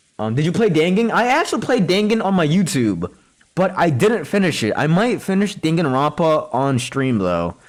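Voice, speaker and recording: A loud male voice with very wide pitch swings. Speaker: video game streamer. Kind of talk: live game stream chat with reading aloud. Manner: casual, filler-heavy.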